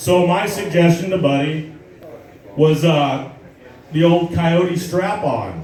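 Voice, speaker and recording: A high-pitched man with an American accent speaks at a very slow pace and very even loudness, his intonation fairly even, with long, frequent pauses, audible room echo and noticeable background noise. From Southern California desert, Morongo Valley. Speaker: amateur stand-up comedian. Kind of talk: stand-up. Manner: halting, many fillers.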